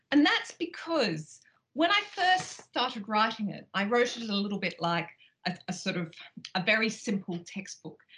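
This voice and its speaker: Her pitch swings very widely as she talks. The speaker is a woman with a fairly high pitch and an Australian accent. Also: moderate pace. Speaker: professor of law. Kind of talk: scripted educational talk.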